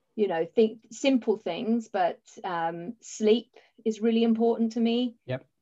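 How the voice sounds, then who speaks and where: A woman with an English accent talks at a fairly slow pace. Her pitch is fairly high, with ordinary variation. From England. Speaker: accountant and business owner. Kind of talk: casual chat.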